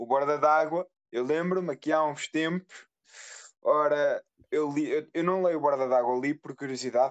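A man talks at a moderate pace with a fairly high pitch and fairly even intonation. It is an unremarkable speaking voice. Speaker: podcast co-host. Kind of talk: casual chat.

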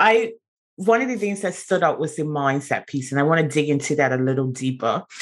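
A woman talks at a fairly quick pace with lively intonation and a very deep, low pitch. The background is quiet. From Bermuda. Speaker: podcast host. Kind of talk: interview.

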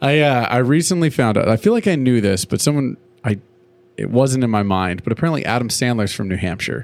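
An ordinary speaking voice from a man, medium in pitch, at a fairly quick pace with lively intonation. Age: 30s. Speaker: podcast co-host, former high school drum instructor. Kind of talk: casual chat.

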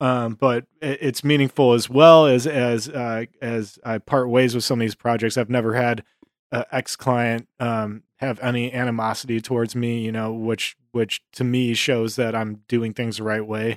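Man with an American accent at medium pitch, flat and monotone, fairly slow, in a dry, close sound with no echo. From Buffalo, New York, US. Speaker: music artist manager and club owner. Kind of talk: casual interview chat.

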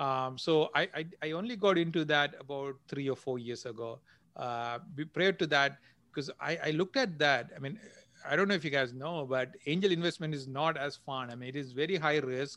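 Speaking with a Sri Lankan accent, a man keeps a moderate pace at a fairly high pitch. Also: ordinary pitch variation. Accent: Sri Lankan Tamil English. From Jaffna, Sri Lanka. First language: Tamil. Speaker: entrepreneur and angel investor. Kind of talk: casual interview, storytelling. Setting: video call from Silicon Valley. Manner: halting, filler-heavy.

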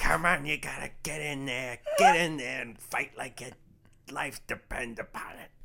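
In a put-on character voice, the speaker sounds raspy, with a low-to-middle pitch and a moderate pace. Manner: gruff, pushing, shouting encouragement.

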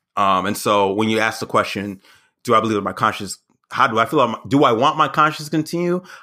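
A very fast pace with a bright, sharp tone and lively intonation. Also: man, medium pitch for a man. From US South. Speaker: comedian and astrologer. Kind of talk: casual chat.

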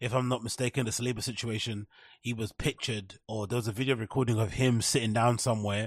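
A man with a London accent speaks at a fairly quick pace and medium pitch. The sound is dry and close, with no echo. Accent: British English, London. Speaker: podcast host. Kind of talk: casual solo commentary. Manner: animated.

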